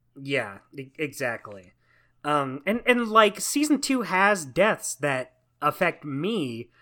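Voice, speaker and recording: Speaking very slowly with an American accent, a man uses a fairly high pitch, very wide pitch swings and a bright, sharp tone, captured in a very clean recording with a silent background. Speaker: podcast co-host. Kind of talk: casual chat. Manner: distinctive way of talking.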